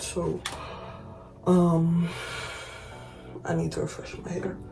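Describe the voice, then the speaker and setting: A woman whispers quietly. Noticeable background noise sits behind her. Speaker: beauty vlogger. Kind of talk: hair tutorial. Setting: at home, early morning. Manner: whispering, quiet.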